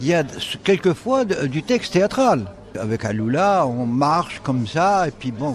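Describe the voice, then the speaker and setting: Against noticeable background noise, a man talks with a fairly high pitch and very wide pitch swings. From Algeria. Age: 70s. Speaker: photographer. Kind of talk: radio interview. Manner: halting.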